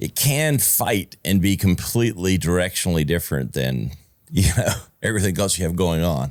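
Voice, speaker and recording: Speaking in a Southern US accent, a man uses a very deep, low pitch with vocal fry. His intonation is lively and his pace moderate. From US South, South Carolina (Easley). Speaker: podcast co-host. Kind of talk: casual chat.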